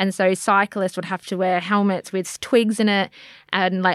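A woman speaks at a medium pitch in a monotone, flat way. The sound is dry and close with no echo, and the recording is very clean over a silent background. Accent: Australian. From Australia, Melbourne eastern suburbs. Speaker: podcast guest. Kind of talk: casual chat.

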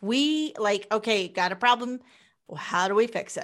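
A woman with a US Midwestern accent speaks with lively intonation on a very clean recording over a silent background. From Kansas, US Midwest. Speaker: entrepreneur and book publisher. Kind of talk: interview.

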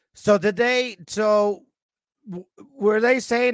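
This man talks loudly, his intonation fairly even. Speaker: gaming podcast co-host. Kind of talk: casual chat.

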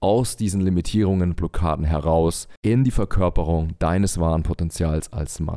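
The man's pitch is very deep and low, with a dark, mellow tone. The recording is very clean, with a silent background. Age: 30s. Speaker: men's coach and podcast host. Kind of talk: monologue podcast intro, coaching talk.

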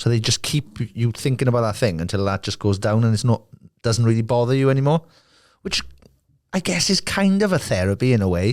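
Speaking at a fairly quick pace with a Welsh accent, a man sounds animated, his intonation lively, on a very clean recording with a silent background. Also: medium pitch for a man, very even loudness. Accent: Welsh, valleys. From South Wales. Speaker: musician and podcast host. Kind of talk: angry rant. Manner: sweary.

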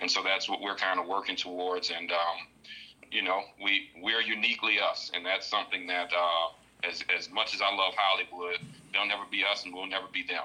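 Over noticeable background noise, a man with a fairly low pitch speaks at a fairly quick pace in a flat, monotone way. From New Orleans, Louisiana. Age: young. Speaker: independent filmmaker. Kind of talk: casual interview chat.

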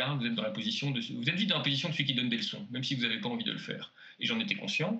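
With clear background noise present, the man talks in a mid-range pitch. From French-speaking Belgium. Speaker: sociologist and author. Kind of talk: interview. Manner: halting with many repetitions.

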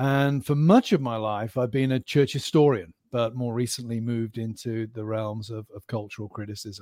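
A man with an English accent, dark and mellow in tone, fairly even in intonation, big swings in loudness, hardly any pauses, on a very clean recording with a silent background. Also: medium pitch for a man, moderate pace. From West of England (Gloucestershire), born in Birmingham. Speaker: professor. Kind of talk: interview. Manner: halting.

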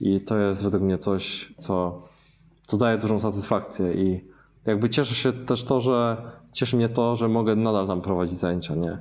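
The speech moves at a moderate pace with ordinary pitch variation. Its loudness stays very even. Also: man, fairly low pitch for a man. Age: 30s. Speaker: taekwondo and kickboxing instructor. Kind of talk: casual interview. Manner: halting, frequent self-corrections.

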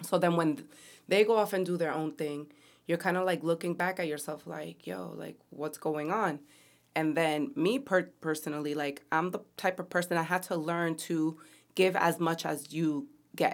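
Here is a woman with a plain, everyday voice, fairly low in pitch, with ordinary pitch variation. She talks at a moderate pace in a very clean recording with a silent background. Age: 30s. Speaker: podcast co-host. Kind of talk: casual chat.

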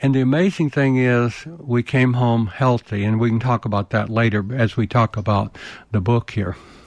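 Someone speaks in a Southern US accent at a moderate pace, with ordinary pitch variation and very even loudness. The sound is dry and close with no echo, and the background is quiet. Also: man, medium pitch for a man. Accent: Southern US (Georgia). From US South, rural Georgia. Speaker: war veteran and leadership consultant. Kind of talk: interview.

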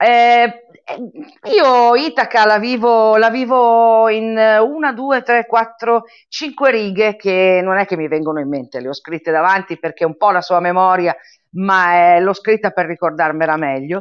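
Her voice is unremarkable, a woman's at a medium pitch. She speaks at a fairly slow pace with lively intonation. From Italy. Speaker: member of a cultural association. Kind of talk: casual interview chat.

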